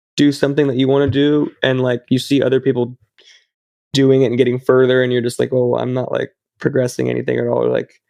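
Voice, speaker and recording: A man speaks at a very fast pace in a medium pitch. His intonation is monotone and flat. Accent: American. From northern California. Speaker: metal band vocalist. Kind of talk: casual interview chat.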